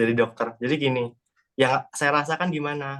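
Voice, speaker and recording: Here a man talks with a Sundanese accent. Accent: sounds Sundanese. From Central Java (Salatiga). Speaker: student. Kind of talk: class presentation. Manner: hesitant, many fillers.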